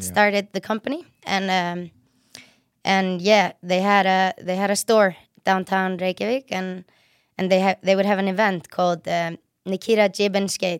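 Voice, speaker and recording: In an Icelandic accent, a woman speaks at a moderate pace and a medium pitch with monotone, flat intonation, the sound dry and close with no echo. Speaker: professional snowboarder. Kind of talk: casual chat. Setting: studio. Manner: talkative.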